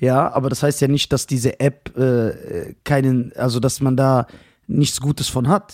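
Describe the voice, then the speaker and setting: This is a normal speaking voice. The sound is dry and close, with no echo. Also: man. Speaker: podcast host. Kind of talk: casual banter, comedic roasting chat.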